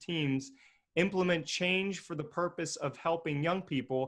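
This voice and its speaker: Energetic and high-pitched, a man speaks at a moderate pace with a bright, sharp tone and ordinary pitch variation on a very clean recording with a silent background. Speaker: podcast host. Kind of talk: podcast interview.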